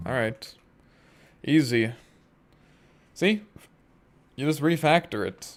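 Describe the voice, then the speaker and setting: Music plays behind a man speaking at a fairly slow pace. He leaves long, frequent pauses. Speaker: solo game developer streamer. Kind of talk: casual live stream chat while coding. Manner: deadpan; monotone.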